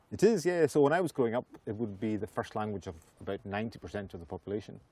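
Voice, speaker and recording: A man with a Hebridean accent, fairly low pitch and a dark, mellow tone, lively intonation at a very fast pace, in a dry, close sound with no echo. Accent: Hebridean Scottish. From Western Isles, Scotland. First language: Scottish Gaelic. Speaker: Gaelic singer and storyteller. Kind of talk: casual interview chat.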